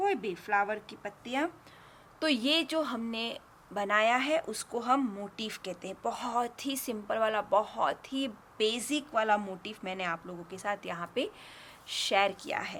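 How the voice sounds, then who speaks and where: A woman's fairly high voice, with ordinary pitch variation and big swings in loudness. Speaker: henna art teacher. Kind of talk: tutorial.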